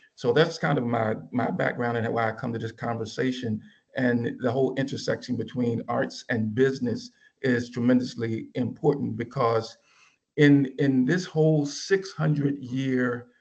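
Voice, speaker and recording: This is a plain, everyday voice at a moderate pace. The intonation is fairly even. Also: man, medium pitch for a man. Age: 60s. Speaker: business professor. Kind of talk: panel talk.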